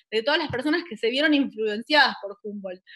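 Talking at a very fast pace over a quiet background, a woman with a Rioplatense accent uses a high voice with a bright, sharp tone. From Buenos Aires, Argentina; Argentina. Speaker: science communicator. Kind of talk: online talk. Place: home room. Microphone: video call.

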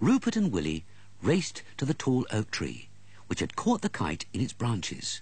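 Someone reads a text aloud. The voice sounds natural.

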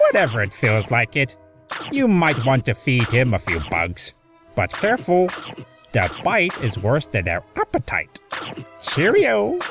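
Someone puts on a character voice at a low-to-middle pitch and a moderate pace, with faint music in the background. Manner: theatrical, playful.

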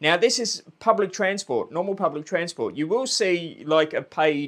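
Vocal fry runs through a man's speech as his pitch swings very widely over a quiet background. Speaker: travel vlogger. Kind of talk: casual vlog chat. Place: home room. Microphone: lapel.

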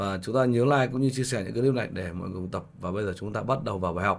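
A man at a very fast pace, fairly low in pitch, with ordinary pitch variation. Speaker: piano teacher. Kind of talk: tutorial.

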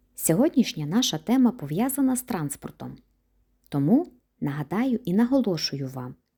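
Speaking at a moderate pace, a woman uses a medium pitch with very wide swings, her dark, mellow tone somewhat breathy, on a very clean recording with a silent background. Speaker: German language teacher. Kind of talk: lecture.

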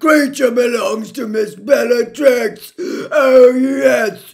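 A loud, croaky put-on character voice from a man, pitched extremely high. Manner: loud, wailing, defiant.

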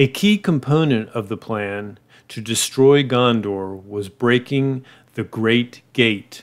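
This man's voice sits at a medium pitch, with ordinary pitch variation and a dramatic tone. He talks very slowly on a very clean recording with a silent background. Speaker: lore video narrator. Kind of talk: scripted epic fantasy narration of Tolkien lore, solemn and dramatic. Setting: solo YouTube video voiceover. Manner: grave, dramatic, measured, storyteller cadence.

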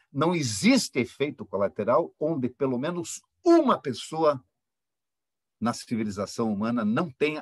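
Lively intonation marks this man's fairly slow delivery. The background is quiet and the sound dry, with no echo. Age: 60s. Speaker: engineering professor. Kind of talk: academic panel talk. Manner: impassioned. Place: home room. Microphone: webcam.

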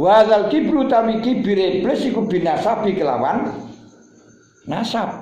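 There is audible room echo around this man's voice. He speaks at a fairly slow pace with a high pitch. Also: lively intonation. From Java, Indonesia. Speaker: Islamic teacher. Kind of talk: religious lecture reading a classical text. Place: home room. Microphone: phone near.

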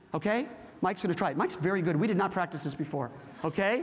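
A man talks in an animated tone with lively intonation. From California. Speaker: corporate workshop presenter. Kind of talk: interactive workshop talk with audience. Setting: stage with live audience.

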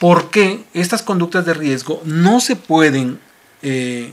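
His speech moves very slowly. The man's pitch rises and falls in a normal way. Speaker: show host. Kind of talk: radio talk show hosting. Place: studio. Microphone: studio mic.

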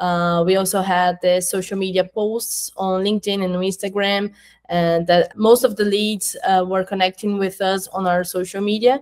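A woman talks with a Portuguese accent and monotone, flat intonation. She hardly pauses, and the background is quiet. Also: medium pitch for a woman, moderate pace. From Brazil. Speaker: marketing coordinator at an education company; interviewee. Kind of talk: interview. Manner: halting, with fillers. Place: home room.

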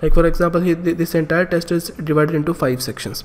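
A man speaks at a fairly quick pace and fairly high pitch. Background noise is noticeable. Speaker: online exam-prep instructor. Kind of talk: tutorial.

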